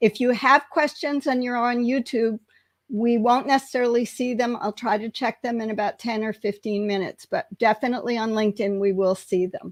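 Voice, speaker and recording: A woman's fairly high, fairly even voice at a fairly quick pace, a plain, everyday voice, dry and close with no echo, over a quiet background. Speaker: career mentor, live stream co-host. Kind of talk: live stream Q&A introduction. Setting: LinkedIn Live video stream.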